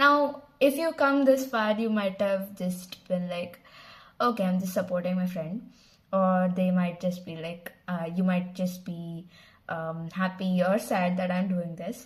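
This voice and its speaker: Somewhat breathy and medium in pitch, a woman speaks at a fairly slow pace in a Telugu accent. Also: ordinary pitch variation. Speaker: channel founder and vlogger. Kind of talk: casual vlog introduction. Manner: casual with fillers and restarts.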